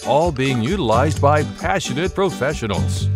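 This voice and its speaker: A man's voice with very wide pitch swings, music in the background. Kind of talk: infomercial-style commercial read. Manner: upbeat, salesy, fast-paced.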